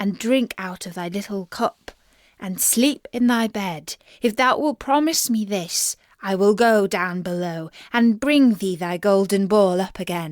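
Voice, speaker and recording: A woman speaks at a medium pitch and a fairly slow pace. She uses a put-on character voice. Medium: read story. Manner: archaic, formal speech.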